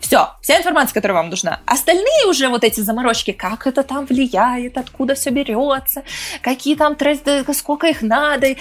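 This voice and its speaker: A woman's high voice with lively intonation, over noticeable background noise. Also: moderate pace. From Moscow region, Russia. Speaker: entrepreneur and author. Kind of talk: casual interview.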